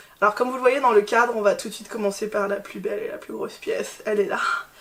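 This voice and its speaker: There is noticeable background noise behind the speaker. She is a woman with a high-pitched voice. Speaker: fashion YouTuber. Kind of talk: casual haul video chat. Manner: loud, shouting.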